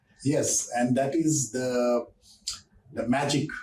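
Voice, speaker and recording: Very slow speech unfolds against noticeable background noise. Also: man. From Northeast India. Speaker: podcast host, company CEO. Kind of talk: podcast interview.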